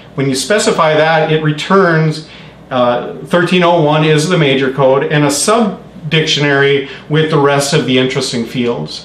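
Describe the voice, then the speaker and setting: Noticeable background noise and audible room echo around a man's fairly high-pitched voice. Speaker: meetup presenter. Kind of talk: technical presentation. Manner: halting, many fillers.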